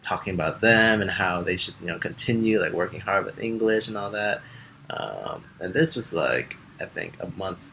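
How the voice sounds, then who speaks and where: A man with an American accent at a moderate pace, with noticeable background noise. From Chicago area, US Midwest. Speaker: Peace Corps volunteer teacher. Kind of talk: personal testimony interview. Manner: hesitant, many fillers.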